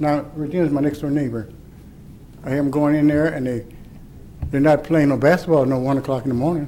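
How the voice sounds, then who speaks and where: A man with a dark, mellow tone and a fairly high pitch talks at a very fast pace with fairly even intonation amid audible room echo. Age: 70s. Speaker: resident speaking at public comment. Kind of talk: public comment at council meeting. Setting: city council chamber.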